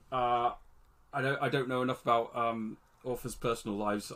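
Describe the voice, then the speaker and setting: With a British accent, a man talks at a fairly quick pace in a medium pitch, using ordinary pitch variation. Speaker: podcast co-host, fantasy author. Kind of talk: casual chat.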